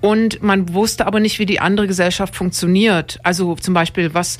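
Talking at a fairly quick pace, a woman uses an ordinary speaking voice. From Dresden, Saxony. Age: young. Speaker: radio podcast host. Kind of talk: casual radio discussion. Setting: radio studio.

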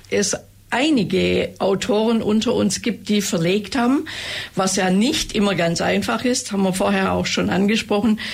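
A woman with vocal fry at a fairly slow pace. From Ravensburg, Upper Swabia, Germany. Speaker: author. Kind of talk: interview chat.

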